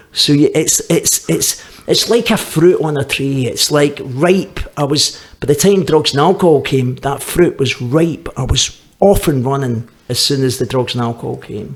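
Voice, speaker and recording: A man with a Glaswegian accent talks at a fairly high pitch and moderate pace with ordinary pitch variation. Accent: Glaswegian Scottish. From Scotland, Glasgow. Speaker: recovering addict. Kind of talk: testimony. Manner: halting, with repetitions.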